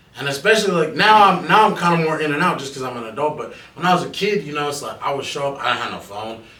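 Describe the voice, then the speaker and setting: A man with a fairly high pitch talks at a very fast pace with hardly any pauses, lively intonation and big swings in loudness, over noticeable background noise. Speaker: rapper. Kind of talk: casual podcast interview. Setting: studio.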